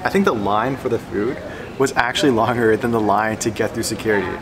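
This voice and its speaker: Background noise is noticeable. The speech moves at a fairly quick pace with fairly even intonation. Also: man. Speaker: travel vlogger. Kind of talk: casual vlog chat. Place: station. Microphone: phone near.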